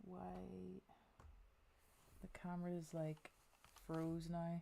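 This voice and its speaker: A soft-spoken woman speaks at a very slow pace. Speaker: gaming streamer. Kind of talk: live gameplay stream chat. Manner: quiet, low volume.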